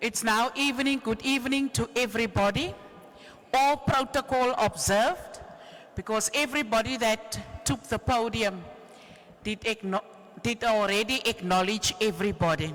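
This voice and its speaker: This woman speaks at a moderate pace with a Cape Town accent. Her intonation is lively and her loudness stays very even. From South Africa, Cape Town. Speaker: trade union activist. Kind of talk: rally speech.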